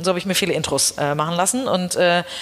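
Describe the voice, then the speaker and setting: Over noticeable background noise, a woman talks at a medium pitch with ordinary pitch variation. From Hamburg, northern Germany. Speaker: headhunter and company founder. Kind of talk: interview.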